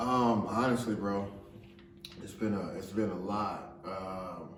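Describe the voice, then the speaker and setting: A man's fairly low voice at a very slow pace, fairly even in intonation, with audible room echo and noticeable background noise. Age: young. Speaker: podcast co-host. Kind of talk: casual chat.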